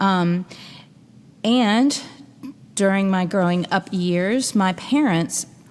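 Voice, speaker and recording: Delivered in an American accent, the speech moves at a very slow pace with ordinary pitch variation. The recording is very clean, with a silent background. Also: woman. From US Midwest (Louisville, Kentucky and Chicago). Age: 40s. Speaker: podcast host and interfaith minister. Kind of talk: podcast monologue. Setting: log cabin. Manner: casual, conversational with fillers.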